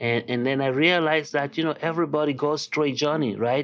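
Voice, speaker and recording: With a Nigerian accent, a man speaks using ordinary pitch variation. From Nigeria (Lagos). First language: Yoruba. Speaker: artist and art professor. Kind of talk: interview. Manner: halting, many fillers.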